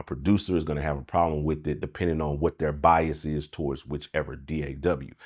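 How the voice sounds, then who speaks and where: A man with a very deep, low pitch and vocal fry talks at a fairly quick pace with hardly any pauses. The recording is very clean, with a silent background. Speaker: music producer and mixing engineer YouTuber. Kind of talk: casual commentary monologue. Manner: animated.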